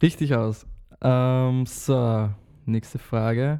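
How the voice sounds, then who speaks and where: This man's voice has a dark, mellow tone. It sits at a medium pitch, with fairly even intonation. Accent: Austrian. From Austria. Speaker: podcast host. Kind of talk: casual interview.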